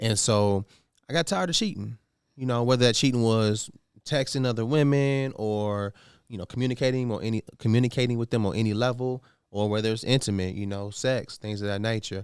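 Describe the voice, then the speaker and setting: A man with an American accent talks at a fairly quick pace, medium in pitch, with ordinary pitch variation and a plain, everyday voice. The recording is very clean, with a silent background. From Indianapolis, US Midwest. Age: 30s. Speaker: real estate broker, podcast guest. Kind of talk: casual interview.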